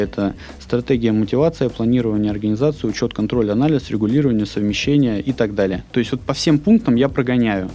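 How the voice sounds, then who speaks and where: Speaking at a fairly quick pace, a man has a medium pitch, ordinary pitch variation and a plain, everyday voice. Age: young. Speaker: entrepreneur. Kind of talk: casual interview. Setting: studio.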